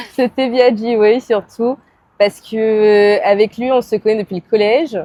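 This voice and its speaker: Someone talks at a fairly slow pace in a plain, everyday voice. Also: woman, fairly high pitch for a woman, fairly even intonation. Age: 20s. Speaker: photographer. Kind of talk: casual interview. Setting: podcast recording.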